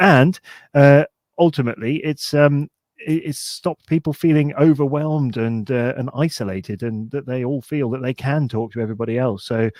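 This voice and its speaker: A man with a British accent and fairly high pitch speaks at a moderate pace with ordinary pitch variation. The sound is dry and close with no echo, on a very clean recording with a silent background. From United Kingdom. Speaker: podcast co-host. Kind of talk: casual chat.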